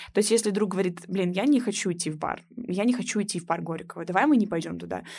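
A woman speaks at a very fast pace with vocal fry, her pitch medium and ordinarily varied. The recording is very clean, with a silent background. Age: 20s. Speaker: student podcast host. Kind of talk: casual interview chat. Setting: recording room.

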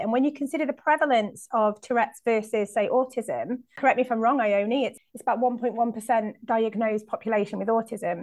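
A woman with a high-pitched voice. Her pitch varies in an ordinary way. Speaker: students' union chief executive. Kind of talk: panel discussion.

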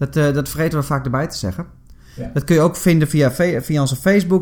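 A man talks at a fairly high pitch. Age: 30s. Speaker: podcast co-host. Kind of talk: casual chat. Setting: studio.

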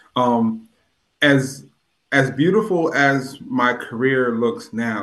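A man with a plain, everyday voice and an American accent speaks at a medium pitch with ordinary pitch variation. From US Northeast, New Haven, Connecticut. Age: 40s. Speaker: poet laureate and nurse. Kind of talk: interview.

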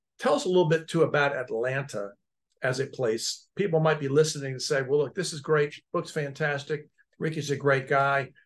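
At a moderate pace, a man speaks in a fairly high, somewhat breathy voice with fairly even intonation. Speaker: podcast host and technology lawyer. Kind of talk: casual interview chat.

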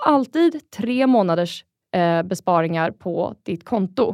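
A woman with a normal speaking voice, medium in pitch and lively in intonation. The sound is dry and close with no echo, in a very clean recording against a silent background. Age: 30s. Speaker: angel investor. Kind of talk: interview.

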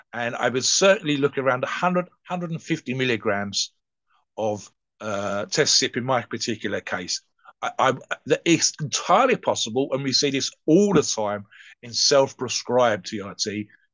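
Using an ordinary speaking voice, a man talks at a fairly slow pace with a medium pitch and lively intonation. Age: 60s. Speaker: steroid podcast co-host. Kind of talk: casual chat.

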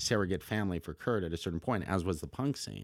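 Here is a man with an American accent. He talks at a very fast pace with very wide pitch swings. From US, Los Angeles. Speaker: documentary film director. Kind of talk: casual interview conversation. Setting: studio. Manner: animated, profanity-laden.

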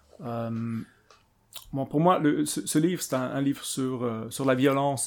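Words unfold at a fairly slow pace with fairly even intonation. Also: man. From Switzerland. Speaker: political theory professor. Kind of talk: interview. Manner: halting, many repetitions and fillers.

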